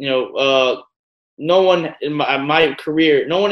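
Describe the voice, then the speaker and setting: In a New York accent, a man talks with a fairly high pitch and fairly even intonation. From New York, Staten Island. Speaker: professional boxer. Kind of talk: casual interview.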